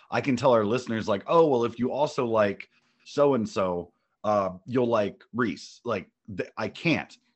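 In a normal speaking voice with an American accent, a man of medium pitch talks fairly slowly with lively intonation. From US Midwest, Ohio (Lima). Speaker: podcast co-host, musician. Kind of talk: casual interview.

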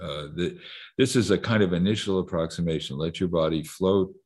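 With lively intonation and vocal fry, a man talks at a moderate pace. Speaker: psychiatrist and professor. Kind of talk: interview.

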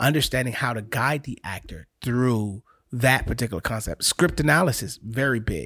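A man with an American accent talks at a medium pitch and moderate pace, his bright, sharp tone touched with vocal fry. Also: ordinary pitch variation, very clean recording, silent background. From US, South Florida (Haitian American). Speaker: actor, playwright and acting coach. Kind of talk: casual interview.

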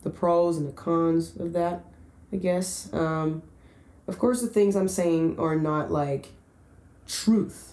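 This woman has a fairly low pitch and ordinary pitch variation. She talks at a very slow pace, with long, frequent pauses. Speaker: podcast host. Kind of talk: casual monologue. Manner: hesitant, many fillers.

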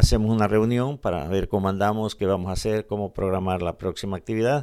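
Very clean and set against a silent background, the recording captures a man. His voice has a dark, mellow tone at a fairly low pitch. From El Salvador, Morazán (eastern region). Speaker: community organization founder. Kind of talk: radio interview.

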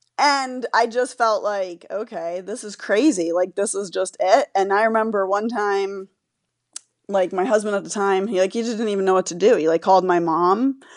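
A woman with an American accent and a plain, everyday voice, medium in pitch, with ordinary pitch variation, a moderate pace and a quiet background. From Florida. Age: 40s. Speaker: patient sharing illness story. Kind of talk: interview.

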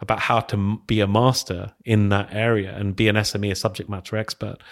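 The recording is very clean, with a silent background. A man speaks at a fairly low pitch with a London accent. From West London. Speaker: tech evangelist, former teacher. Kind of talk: casual interview. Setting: studio.

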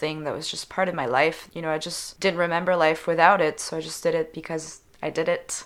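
A woman with a French accent, fairly even intonation and a fairly quick pace. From Switzerland. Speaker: singer-songwriter. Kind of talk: interview.

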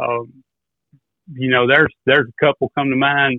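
With an American accent, a man speaks at a fairly high pitch in a monotone, flat intonation. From US South, Arkansas and mid-South. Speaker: duck caller and turkey hunter. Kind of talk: casual podcast interview.

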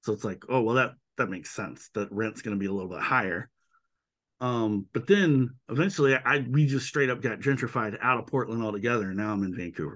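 With an American accent and an unremarkable speaking voice, a man talks at a fairly quick pace at medium pitch with ordinary pitch variation against a quiet background. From US South, Georgia (Macon). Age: 40s. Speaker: artist and podcaster. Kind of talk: casual chat.

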